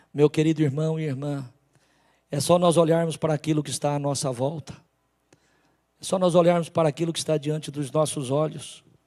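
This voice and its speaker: The speaker moves at a fairly quick pace but with long, frequent pauses, using a dark, mellow tone and monotone, flat intonation. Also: man, fairly high pitch for a man. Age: 60s. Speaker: pastor. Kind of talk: sermon.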